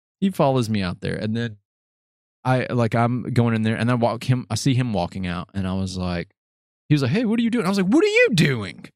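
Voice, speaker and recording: Over a silent background in a very clean recording, a man talks fairly quickly with very wide pitch swings. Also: medium pitch for a man. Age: 20s. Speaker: podcast host. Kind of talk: casual interview.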